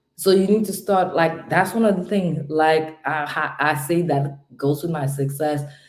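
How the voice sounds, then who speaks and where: The woman's delivery is fairly slow, with ordinary pitch variation. The room echo is audible. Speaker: home care business coach. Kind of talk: live stream motivational talk. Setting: home at night, live stream. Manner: loud; subdued, trying to keep quiet.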